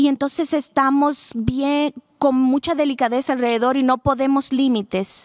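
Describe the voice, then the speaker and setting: Speaking at a moderate pace, a woman with a high pitch keeps her intonation fairly even and her loudness very even, in a dry, close sound with no echo. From Texas. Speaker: speaker on blended families. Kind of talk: talk to live audience.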